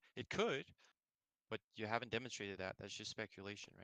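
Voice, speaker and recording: A man with a non-native accent has a fairly low pitch and a bright, sharp tone. The sound is dry and close, with no echo. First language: not English. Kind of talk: heated debate.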